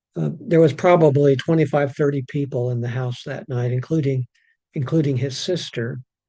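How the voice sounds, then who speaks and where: At a moderate pace, a man speaks with a fairly high pitch. His voice is somewhat breathy, with a dark, mellow tone. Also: ordinary pitch variation. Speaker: pastor. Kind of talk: bible study reading and reflection. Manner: repeats words, some halting.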